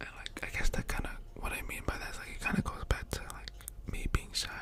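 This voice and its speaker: Whispering at a very fast pace, a man's loudness swings widely against noticeable background noise. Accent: American. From California, US. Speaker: ASMR YouTuber. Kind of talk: casual personal ramble. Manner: soft-spoken; hesitant, many fillers.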